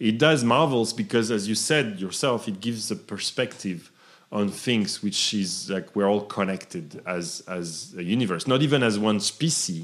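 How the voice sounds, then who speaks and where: With a French accent, a man talks at a moderate pace in a fairly low voice with ordinary pitch variation and hardly any pauses, on a very clean recording with a silent background. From southern France. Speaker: entrepreneur. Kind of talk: interview.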